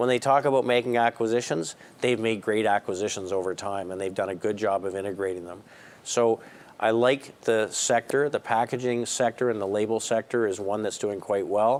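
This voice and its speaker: A man with a Canadian accent and a plain, everyday voice, fairly low in pitch, at a fairly quick pace with fairly even intonation. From Canada. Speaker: investment strategist. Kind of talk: call-in market commentary.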